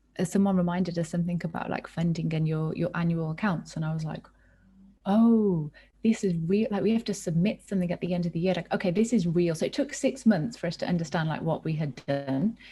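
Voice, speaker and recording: A woman with a British accent talks at a very fast pace. Her voice is fairly low, somewhat breathy and dark and mellow in tone. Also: ordinary pitch variation. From England, Birmingham. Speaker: nonprofit co-founder. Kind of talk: casual chat.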